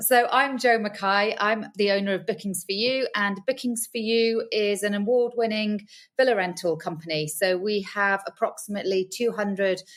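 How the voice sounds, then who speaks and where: A woman at a medium pitch and moderate pace, fairly even in intonation, on a very clean recording with a silent background. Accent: British. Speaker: villa rental business owner. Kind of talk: podcast interview.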